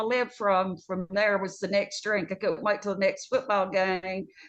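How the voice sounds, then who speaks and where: Here a woman speaks with a medium pitch. Her pace is moderate. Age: 60s. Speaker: nurse. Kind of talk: testimony.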